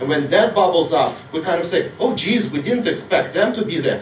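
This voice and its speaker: Loud and animated, a man speaks at a moderate pace in a high voice with ordinary pitch variation, amid noticeable background noise and audible room echo. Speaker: audience member. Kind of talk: heated debate. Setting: public meeting hall.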